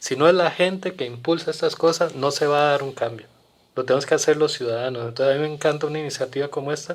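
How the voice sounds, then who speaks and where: Speaking very fast, a man with a fairly high voice keeps his intonation fairly even. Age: 60s. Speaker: community guest on environmental issues. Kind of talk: podcast interview. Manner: halting with frequent repetitions.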